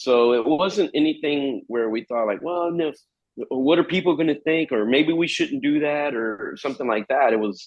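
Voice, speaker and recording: In a Spanish accent, a man speaks with fairly high pitch. His intonation is lively. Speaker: metal guitarist. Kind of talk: interview. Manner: halting, many repeated words.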